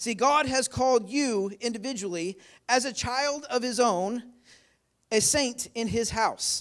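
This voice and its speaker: With ordinary pitch variation, a man talks at a high pitch on a very clean recording with a silent background. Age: 40s. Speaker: bishop preaching a sermon. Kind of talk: Pentecostal-style church sermon with call-and-response, asking the congregation for amens. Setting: church service with live congregation. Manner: emphatic exhortation; rhetorical, repetitive build-ups with call-and-response.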